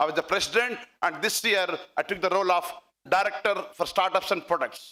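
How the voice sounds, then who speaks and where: Raising and projecting his voice, a man speaks at a fairly quick pace in a high pitch with ordinary pitch variation. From India, Andhra Pradesh. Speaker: tech executive. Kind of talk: conference speech. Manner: halting.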